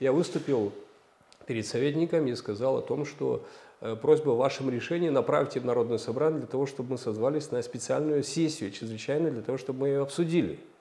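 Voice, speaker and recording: This man has a fairly high pitch and a dark, mellow tone. He talks at a very fast pace. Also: ordinary pitch variation. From Moldova. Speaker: politician, candidate for regional governor; politician, candidate. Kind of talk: political interview. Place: studio. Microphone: lapel.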